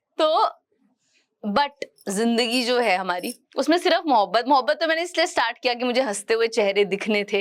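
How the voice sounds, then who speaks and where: A woman's high pitch with lively intonation. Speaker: spoken word poet. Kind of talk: live stage talk with audience interaction. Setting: stage with live audience. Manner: casual, playful.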